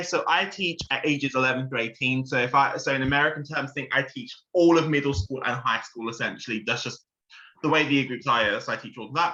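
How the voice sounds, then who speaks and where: Speaking fairly quickly in a London accent, a man has a bright, sharp tone, a fairly high pitch and ordinary pitch variation. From London, England. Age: 20s. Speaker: maths teacher, game player. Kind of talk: casual introduction on video call.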